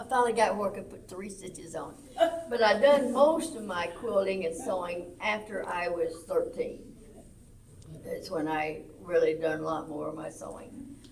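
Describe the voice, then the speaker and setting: With an American accent, a woman speaks at a medium pitch and a moderate pace with lively intonation and big swings in loudness. Audible room echo and noticeable background noise surround her voice. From Arkansas, US South. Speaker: senior center quilting group lead. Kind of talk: casual chat. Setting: senior center.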